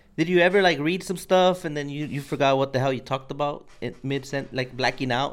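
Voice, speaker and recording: A man with an unremarkable speaking voice and a fairly high pitch, his pitch varying an ordinary amount. He talks at a fairly quick pace with hardly any pauses, on a very clean recording with a silent background. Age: 30s. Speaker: podcast host. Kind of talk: interview conversation. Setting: studio.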